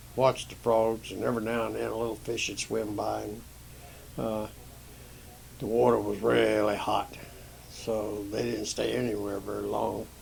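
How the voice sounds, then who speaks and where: A man speaks at a moderate pace in a medium pitch with an American accent. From Maryland. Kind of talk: tall-tale storytelling. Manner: folksy, rambling, hesitant.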